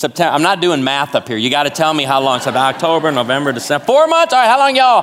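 Very fast and with hardly any pauses, a man with an American accent speaks in an animated tone. His pitch sits fairly high and swings very widely. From Chicago area, US Midwest. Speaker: guest preacher. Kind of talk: sermon. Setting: church with audience.

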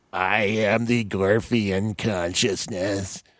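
Using a raspy, put-on character voice, a man speaks at a very slow pace and fairly low pitch with monotone, flat intonation. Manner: wimpy.

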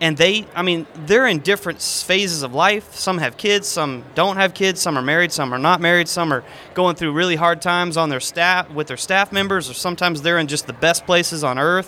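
Speaking fairly quickly with hardly any pauses, a man with an American accent uses a high pitch and ordinary pitch variation. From Texas, Houston area. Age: 30s. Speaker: magician and illusionist. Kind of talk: interview.

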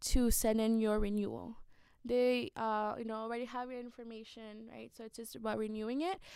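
On a very clean recording with a silent background, a woman with a fairly high pitch speaks at a moderate pace. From Guatemala, raised in Los Angeles. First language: Spanish. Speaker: immigrant rights activist. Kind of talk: interview.

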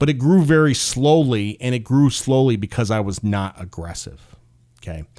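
Lively in intonation, a man talks at a moderate pace in an ordinary speaking voice of medium pitch. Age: 40s. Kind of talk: casual solo monologue.

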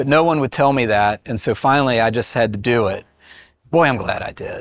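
In a very clean recording with a silent background, a man with an American accent has a plain, everyday voice at medium pitch, speaking at a moderate pace with ordinary pitch variation. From West Virginia, rural small town. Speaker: entrepreneur, game company founder. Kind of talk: interview testimony.

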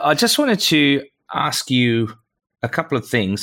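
Bright and sharp in tone, this man's voice moves at a moderate pace. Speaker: podcast co-host. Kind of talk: interview.

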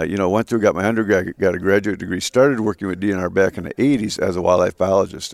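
A man with a fairly low pitch speaks with an Upper Midwest accent and ordinary pitch variation. The recording is very clean, with a silent background and a dry, close sound without echo. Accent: Upper Midwest (Minnesota). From Minnesota, Twin Cities. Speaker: state natural resources commissioner. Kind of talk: interview. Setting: lodge at a live event.

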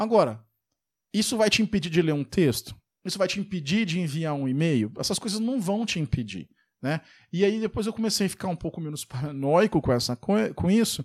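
A man with a high pitch talks fairly quickly and with lively intonation. The recording is very clean, with a silent background. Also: dry, close sound with no echo. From Brazil. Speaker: software developer and podcast host. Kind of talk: casual solo podcast monologue. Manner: conversational, many fillers.

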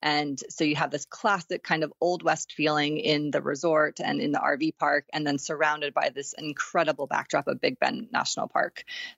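Her very deep, low voice showing ordinary pitch variation, a woman talks with hardly any pauses. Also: moderate pace. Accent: American. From Texas. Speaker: campground booking company representative. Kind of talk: casual interview.

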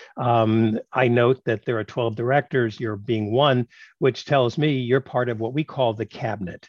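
The speaker uses fairly even intonation with a New York accent. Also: man, medium pitch for a man, moderate pace. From Brooklyn, New York. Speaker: podcast host, tech executive and professor. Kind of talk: interview.

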